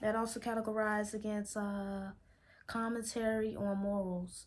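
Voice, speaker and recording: A woman with an American accent speaks at a medium pitch in a somewhat breathy voice. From Chicago, Illinois. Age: 20s. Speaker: vlogger. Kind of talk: casual vlog monologue.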